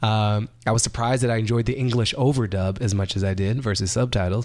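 A man talks at a fairly quick pace in an ordinary speaking voice, medium in pitch, with fairly even intonation. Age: 30s. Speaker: writer and comedian. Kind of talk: casual chat.

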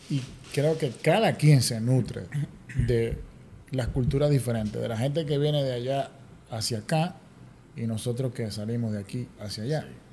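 Long, frequent pauses break up a man's dark, mellow, somewhat breathy delivery. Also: medium pitch for a man, ordinary pitch variation, moderate pace. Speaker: architect. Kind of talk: casual interview. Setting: office.

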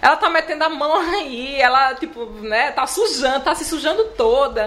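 A woman with very wide pitch swings over noticeable background noise. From Alagoas interior, Palmeira dos Índios. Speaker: chocolatier. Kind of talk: interview.

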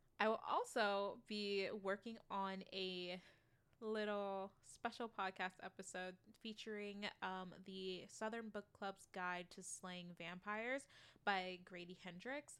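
A woman talks at a very slow pace. Her medium pitch carries fairly even intonation. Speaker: book podcast host. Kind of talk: casual chat.

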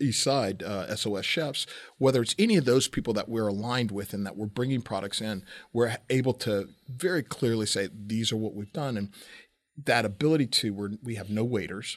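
Recorded very cleanly against a silent background, a man with a medium pitch speaks at a moderate pace with ordinary pitch variation. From Southern California. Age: 50s. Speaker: celebrity chef. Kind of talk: casual chat. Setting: studio, across a table. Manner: halting, many repeated words.

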